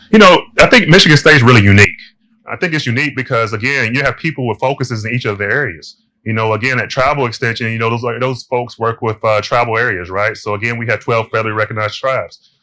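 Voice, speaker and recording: A man speaks at a very fast pace with ordinary pitch variation. His medium-pitched voice has a bright, sharp tone. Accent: American. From US South, Kentucky. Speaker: university extension director. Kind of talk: webinar lecture Q&A.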